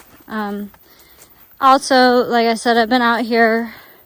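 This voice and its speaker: Speaking very slowly in a Southern US accent, a woman keeps a monotone, flat intonation. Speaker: travel vlogger. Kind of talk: vlog narration while hiking. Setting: outdoors on a forest walking track. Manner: halting, many fillers and restarts.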